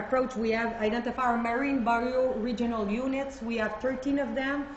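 A moderate pace in a Quebec accent, with fairly even intonation and noticeable background noise. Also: woman. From Quebec, Canada. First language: French. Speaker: government official. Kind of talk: conference presentation. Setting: stage with audience. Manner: halting, many fillers.

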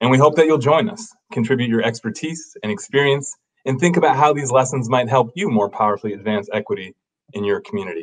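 Against a quiet background, a man talks at a very fast pace with very wide pitch swings. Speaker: webinar host. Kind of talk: scripted introduction. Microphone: webcam.

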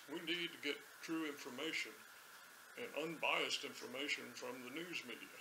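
A man with an American accent at a fairly slow pace, over noticeable background noise. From United States. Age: 70s. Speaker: political commentator. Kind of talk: casual ad-lib commentary to camera. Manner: hesitant, unscripted. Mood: wry, joking. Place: home room.

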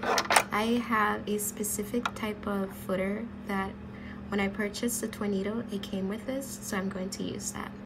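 A woman keeps a monotone, flat intonation at a moderate pace while noticeable background noise plays behind her. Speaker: sewing tutorial maker. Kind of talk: tutorial talk to camera.

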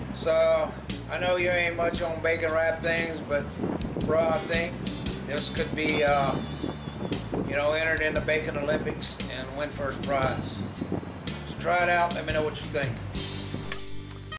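Loud background noise surrounds a man speaking. He talks at a fairly slow pace with long, frequent pauses. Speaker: cook. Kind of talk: cooking show demonstration. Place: home room.

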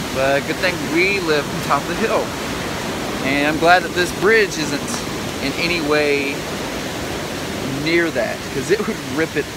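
Loud background noise runs under a man who speaks with ordinary pitch variation and long, frequent pauses, the sound dry with no echo. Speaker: vlogger. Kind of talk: casual vlog chat. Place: waterside. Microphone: phone near.

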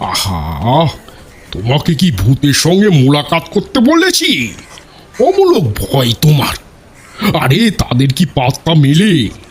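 Using a put-on character voice, a man speaks very slowly at a fairly high pitch with very wide pitch swings. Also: very even loudness. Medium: audio drama. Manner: brisk, commanding.

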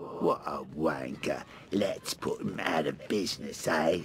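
The pace is fairly slow. A man speaks in a raspy, put-on character voice. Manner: menacing.

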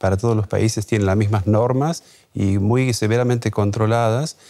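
A man speaks at a moderate pace in a fairly low, dark and mellow voice with fairly even intonation, recorded very cleanly against a silent background. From Argentina, Chaco (north). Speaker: wine importer and expert. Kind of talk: TV interview; interview soundbite.

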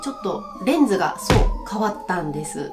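A woman talks while clear music plays in the background. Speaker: English teacher. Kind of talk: casual lesson talk to camera. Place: classroom.

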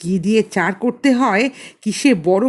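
The speaker reads in a natural reading voice.

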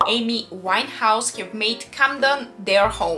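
A woman talks fairly slowly while light noise sits in the background. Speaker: travel vlogger. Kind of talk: travel guide talk to camera. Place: home room.

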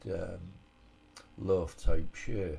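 This man speaks at a very slow pace with a Hull accent, his pitch very deep and low. The tone is dark and mellow, somewhat breathy, with fairly even intonation. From Hull, England. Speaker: army veteran. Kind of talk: home cooking tutorial voice-over. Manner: casual, hesitant.

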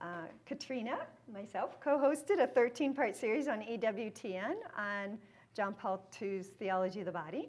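A woman speaks with lively intonation. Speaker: speaker. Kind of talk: talk introduction to an audience. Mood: warm, smiling. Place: hall.

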